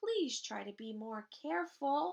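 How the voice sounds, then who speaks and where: In a put-on character voice, a woman speaks with fairly high pitch at a fairly slow pace. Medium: read story. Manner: gentle, motherly.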